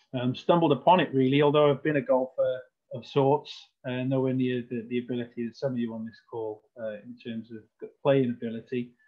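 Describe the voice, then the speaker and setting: A man with a Welsh accent talks at a fairly quick pace and medium pitch, with fairly even intonation and big swings in loudness. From Wales, Cardiff. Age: 40s. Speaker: golf club general manager. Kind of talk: presentation.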